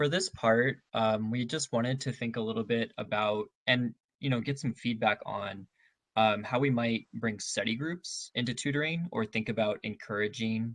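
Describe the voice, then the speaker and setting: This soft-spoken voice keeps a moderate pace. The recording is very clean, with a silent background. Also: man. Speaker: tutoring center staff trainer. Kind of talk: training session. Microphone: very quiet, had to use computer mic.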